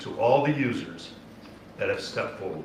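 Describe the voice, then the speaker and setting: The man's voice comes with audible room echo and noticeable background noise. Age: 60s. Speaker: state natural resources official. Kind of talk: public meeting address. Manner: emphatic.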